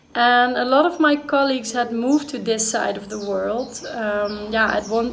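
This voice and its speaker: A speaker with a Dutch accent talks at a fairly slow pace with ordinary pitch variation, and there is audible room echo. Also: woman. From Netherlands. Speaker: vlogger. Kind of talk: personal vlog monologue.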